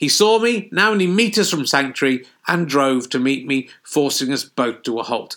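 In a southern English accent, the speaker moves at a moderate pace with very wide pitch swings and a bright, sharp tone. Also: man, fairly high pitch for a man. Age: 50s. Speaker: comedian. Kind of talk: casual chat; reading aloud.

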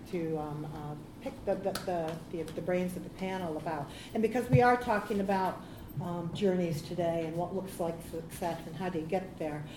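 A woman's fairly low voice with an American accent, ordinary pitch variation and noticeable background noise. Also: moderate pace. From United States. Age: 50s. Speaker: panel moderator. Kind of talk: panel discussion. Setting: stage with audience.

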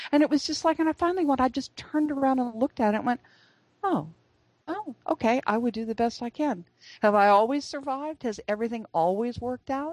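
A woman speaks at a very fast pace in a high pitch with lively intonation, her sound dry and close with no echo. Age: 60s. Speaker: author and speaker. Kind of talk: interview.

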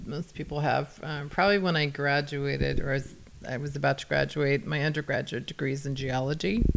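A woman with an American accent talks at a moderate pace. Her pitch is very deep and low. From Northern California (Ukiah area). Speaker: winery president. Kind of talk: interview.

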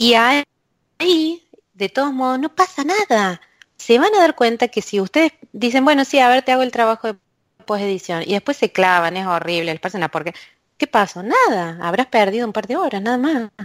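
A woman speaks at a moderate pace with a fairly high pitch and very wide pitch swings. The sound is dry and close, with no echo. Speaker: university lecturer and researcher in language technology. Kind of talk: interview. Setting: remote call from a closed office booth.

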